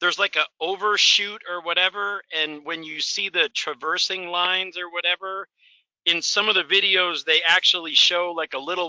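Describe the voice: Loud and at a moderate pace, a man speaks with a fairly high pitch and fairly even intonation, his tone clear, smooth, bright and sharp in a dry, close sound with no echo.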